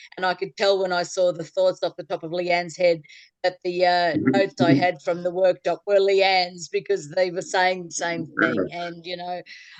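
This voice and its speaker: With an Australian accent, a woman speaks at a moderate pace and a fairly low pitch, her intonation fairly even and the sound dry and close with no echo. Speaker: clogging club leader. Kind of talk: casual chat.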